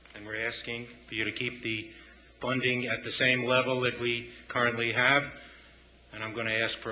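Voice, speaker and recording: A man with an American accent talks at a fairly quick pace, medium pitch and monotone, flat intonation. Noticeable background noise and audible room echo are present. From northern US. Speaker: nonprofit board chairman. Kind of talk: public comment at city council. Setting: city council meeting.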